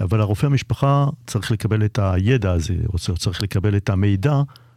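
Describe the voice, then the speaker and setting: A man's plain, everyday voice with ordinary pitch variation, on a very clean recording with a silent background and a dry, close sound with no echo. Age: 60s. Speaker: anesthesiologist, co-host. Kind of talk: radio talk show.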